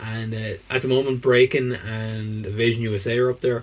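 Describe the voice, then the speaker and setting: In an Irish accent, a man talks at a fairly quick pace with a medium pitch. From southern Ireland (Waterford). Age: 30s. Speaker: podcast co-host. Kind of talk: casual chat. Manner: animated.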